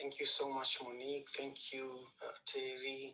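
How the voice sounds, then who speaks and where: Here a man speaks with a Kenyan accent. His pace is fairly slow. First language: Luo. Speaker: panel guest. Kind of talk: panel discussion. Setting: live audio chat room.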